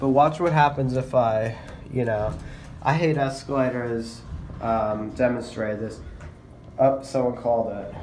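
The delivery is fairly slow, with fairly even intonation and a slightly mellow tone. Room echo is audible. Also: man, medium pitch for a man.

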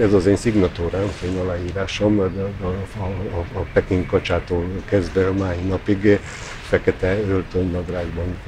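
The delivery is fairly slow and monotone. Noticeable background noise runs underneath. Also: man, very deep, low pitch for a man. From Vojvodina, Serbia (Hungarian minority). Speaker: choreographer. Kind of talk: interview. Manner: halting, many repetitions and fillers. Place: garden.

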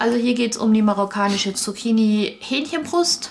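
Her speaking pace is moderate. The woman's pitch moves up and down an ordinary amount. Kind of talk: casual unboxing explanation.

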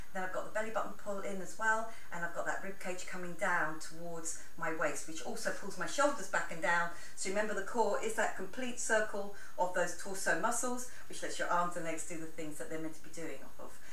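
Amid light background noise and audible room echo, a woman talks at a fairly quick pace. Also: ordinary pitch variation. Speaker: fitness instructor. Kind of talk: workout class instruction. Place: home room. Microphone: camera far.

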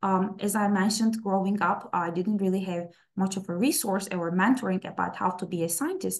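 Against a quiet background, a woman speaks with a Turkish accent. Her pace is moderate and her pitch varies in an ordinary way. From Istanbul, Turkey; Turkey. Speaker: plant scientist; presenter. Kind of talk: webinar talk. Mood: personal, warm storytelling. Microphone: webcam.

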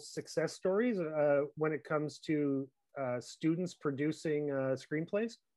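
A plain, everyday voice from a man, fairly high in pitch, at a moderate pace with ordinary pitch variation against a quiet background. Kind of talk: interview.

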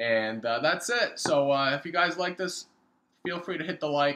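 A bright, sharp tone comes through at a moderate pace. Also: man. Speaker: comic collector. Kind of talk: casual vlog chat. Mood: grateful, relaxed. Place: home room. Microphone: webcam.

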